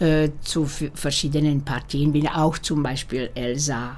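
In a Slovak accent, a woman speaks at a fairly slow pace with a very deep, low pitch. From Slovakia, Bratislava. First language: Slovak (speaking German). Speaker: opera singer. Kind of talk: interview. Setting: at home. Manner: halting.

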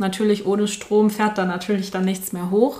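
At a moderate pace, a woman uses a normal speaking voice pitched in the medium range. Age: 20s. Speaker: podcast guest, friend of host. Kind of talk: casual chat.

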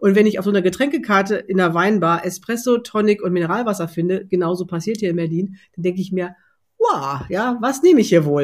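On a very clean recording with a silent background, a woman talks at a moderate pace in a medium pitch with very wide pitch swings. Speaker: culinary consultant for non-alcoholic drink pairing. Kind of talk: interview conversation. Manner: hesitant with many fillers.

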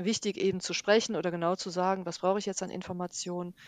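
Against a quiet background, a woman talks at a fairly quick pace in a medium-pitched voice. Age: 50s. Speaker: yoga and mindfulness teacher. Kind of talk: interview. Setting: remote recording, partly re-recorded by herself.

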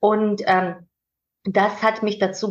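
A woman with a slight Georgian accent. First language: Georgian (speaking German). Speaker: manager and mentor. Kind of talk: interview conversation. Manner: hesitant with fillers.

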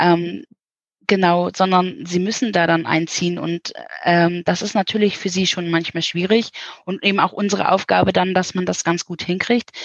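A woman's medium-pitched voice keeps fairly even intonation while she talks at a moderate pace. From northern Germany. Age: 40s. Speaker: children's village house mother. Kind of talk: interview. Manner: warm.

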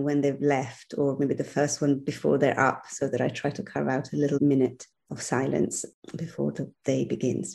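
A woman's very deep, low voice with a dark, mellow tone and vocal fry, in an Italian accent at a moderate pace, against a quiet background. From Italy, Milan. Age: 50s. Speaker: social entrepreneur. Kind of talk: interview.

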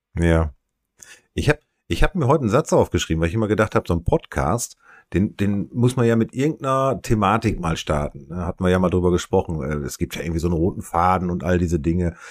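A man with a very deep, low pitch talks at a very fast pace with lively intonation, recorded very cleanly against a silent background in a dry, close sound with no echo. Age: 50s. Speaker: podcast co-host. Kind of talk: casual chat. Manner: halting.

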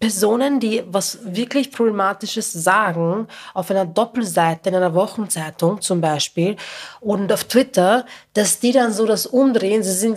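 A woman talks at medium pitch and a fairly slow pace, with ordinary pitch variation. Hers is an unremarkable speaking voice. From Lower Austria, working-class town. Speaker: podcast host, journalist. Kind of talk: casual chat.

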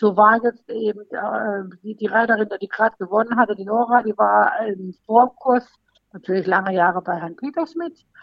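Speaking at a moderate pace, a woman with a fairly high pitch shows ordinary pitch variation and big swings in loudness. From Baden-Baden, southwest Germany. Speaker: amateur jockey examiner. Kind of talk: casual interview. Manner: hesitant, many fillers.

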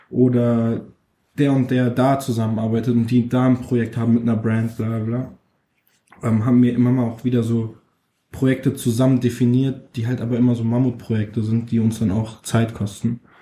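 Medium-pitched male speech, moderate in pace, with monotone, flat intonation. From Frankfurt, Germany (Nordweststadt). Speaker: rapper. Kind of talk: interview.

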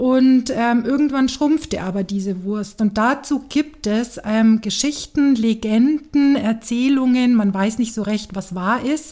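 The voice has a dark, mellow tone with ordinary pitch variation. It moves at a very slow pace. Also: woman, high pitch for a woman. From Franconia, Nuremberg (Germany). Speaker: city tour guide. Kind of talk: casual interview. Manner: lively.

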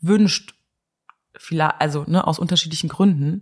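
This woman's voice is somewhat breathy. Her pitch sits fairly low. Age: 30s. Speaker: interviewee in fertility treatment. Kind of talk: casual interview. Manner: hesitant, many fillers.

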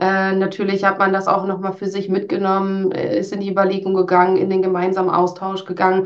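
A woman's medium-pitched voice moves along at a fairly quick pace. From Münsterland, northwestern Germany. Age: 30s. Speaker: HR team leader. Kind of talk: interview.

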